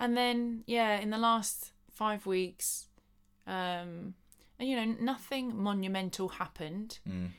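In a southern English accent, the speech moves at a very slow pace on a very clean recording with a silent background. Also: woman, medium pitch for a woman, fairly even intonation. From Buckinghamshire, England. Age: 30s. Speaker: dancer and choreographer. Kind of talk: casual chat.

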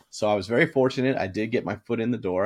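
A man with an American accent, very fast, with fairly even intonation. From Boston. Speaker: sports office pool business co-founder. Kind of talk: casual chat.

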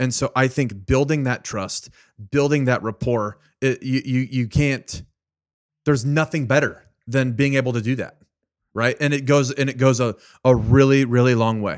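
With an American accent and an animated tone, a man talks at a moderate pace and a medium pitch. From California (Fresno). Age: 30s. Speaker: guest, networking consultant. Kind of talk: casual interview chat.

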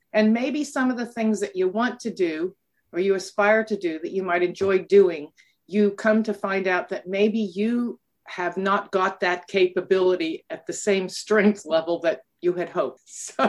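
This is a normal speaking voice from a woman with a North American accent. She speaks at a fairly slow pace with a medium pitch and ordinary pitch variation. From United States. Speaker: academic and board advisor. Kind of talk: interview.

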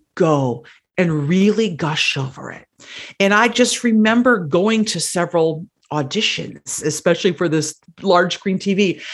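In an ordinary speaking voice, a woman talks at a fairly slow pace and fairly low pitch with lively intonation. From Wisconsin, US Midwest. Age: 50s. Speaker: actor and political campaigner. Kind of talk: casual interview.

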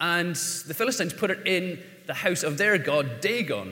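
A man with an Irish accent talks at a high pitch. His intonation is lively, with noticeable background noise behind him. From Ireland. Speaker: pastor. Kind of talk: sermon. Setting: church. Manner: halting.

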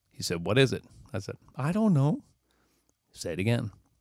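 In an American accent, a man speaks in an animated tone, captured with a dry, close sound with no echo. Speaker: musician and podcast host. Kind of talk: casual chat. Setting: studio.

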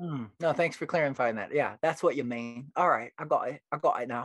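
The speaker has a British accent and talks at a moderate pace. The background is quiet. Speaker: poet. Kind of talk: interview.

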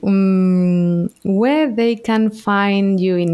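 A woman speaks with a Spanish accent. Her pitch varies in an ordinary way. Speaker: podcast host, actress. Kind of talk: interview; scripted outro. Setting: remote call.

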